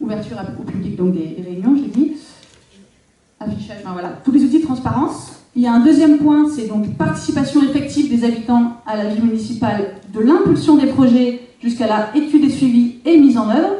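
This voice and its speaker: Amid audible room echo, a woman speaks at a fairly quick pace and high pitch, with lively intonation and big swings in loudness. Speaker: local elected official. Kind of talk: public talk. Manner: fast.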